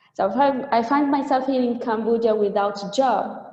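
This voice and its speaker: A woman with fairly even intonation keeps a moderate pace, and audible room echo follows her words. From Tunisia. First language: Arabic. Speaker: trainer. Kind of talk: webinar talk. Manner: halting.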